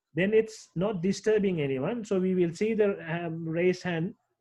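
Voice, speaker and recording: This man talks at a moderate pace, his high pitch moving with ordinary variation. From Sri Lanka. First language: Sinhala. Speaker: English teacher. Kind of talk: online class teaching. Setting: video call.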